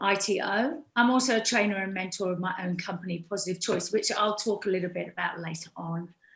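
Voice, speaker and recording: A woman with a British accent speaks at a fairly quick pace. Her pitch sits in the middle range. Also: ordinary pitch variation. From UK. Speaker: fitness instructor. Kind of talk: speech.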